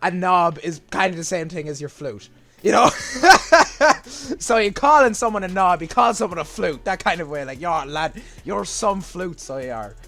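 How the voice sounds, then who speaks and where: Over music in the background, the speaker talks at a moderate pace in a strong Irish accent, with lively intonation and big swings in loudness. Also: man, high pitch for a man. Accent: Irish, strong, gets stronger as video goes on. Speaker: gaming YouTuber. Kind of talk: casual explainer reacting to a video. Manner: hesitant, many fillers and repetitions.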